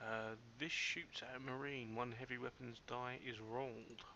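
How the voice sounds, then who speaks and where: In a British accent, a man with a medium pitch talks at a fairly slow pace, his tone bright and sharp and his intonation monotone and flat. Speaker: let's play gamer. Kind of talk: let's play commentary.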